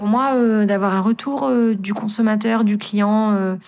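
A plain, everyday voice from a woman, medium in pitch, with fairly even intonation. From Lorraine, France. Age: young. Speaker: farmer. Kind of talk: interview.

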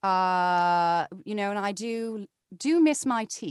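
Here a woman of medium pitch speaks with ordinary pitch variation. The sound is dry and close with no echo, and the background is quiet. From New Jersey. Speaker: voiceover actor. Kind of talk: casual chat. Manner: animated.

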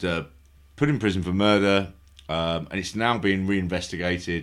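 A man's very deep, low voice with fairly even intonation, in a very clean recording with a silent background. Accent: London. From London. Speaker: podcast host. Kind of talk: casual chat. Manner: halting.

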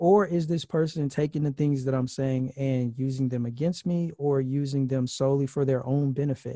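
A man speaks with a fairly high pitch and fairly even intonation. His pace is moderate, with hardly any pauses, in an ordinary speaking voice. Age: 30s. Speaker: podcast host on dating and singleness. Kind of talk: casual interview.

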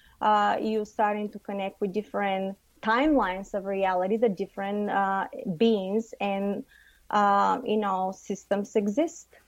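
A woman speaks with a Bulgarian accent at a medium pitch. Her pitch varies in an ordinary way on a very clean recording with a silent background. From Bulgaria, Varna. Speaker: psychic and channeler. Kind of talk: radio interview.

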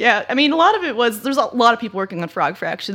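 With an American accent, this speaker talks at a very fast pace, the pitch swinging very widely. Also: woman. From Los Angeles, US West Coast. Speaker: game artist and developer. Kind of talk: casual chat.

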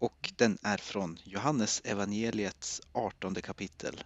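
A man speaks at a fairly low pitch. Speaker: priest. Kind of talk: casual chat about bible texts.

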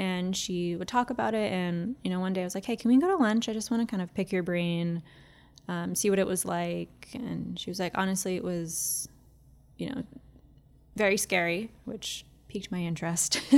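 Soft-spoken and at a medium pitch, a woman talks at a moderate pace with ordinary pitch variation. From Massachusetts, US. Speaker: podcaster. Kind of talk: casual interview chat.

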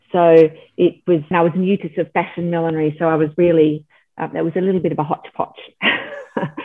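This woman has an Australian accent and a fairly low pitch. She talks at a moderate pace. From Australia, Melbourne. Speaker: milliner. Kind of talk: interview. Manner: hesitant, many fillers.

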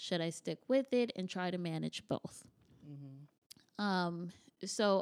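A woman's medium-pitched voice with an American accent, fairly slow and lively in intonation, dry and close with no echo on a very clean recording with a silent background. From New York. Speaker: painting class artist and entrepreneur. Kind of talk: casual interview chat.

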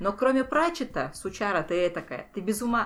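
A woman's plain, everyday voice with a fairly high pitch, lively intonation and a moderate pace. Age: 30s. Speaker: writer. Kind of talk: casual chat.

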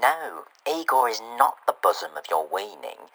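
A man talks in a put-on character voice. His pitch sits in the medium range and his pace is moderate. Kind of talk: pompous, theatrical. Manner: indignant, melodramatic.

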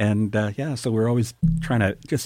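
A man talks at a moderate pace in a dark, mellow tone. There is a very clean recording with a silent background. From Canadian West Coast, First Nation between Vancouver Island and mainland. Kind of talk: radio interview. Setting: radio studio.

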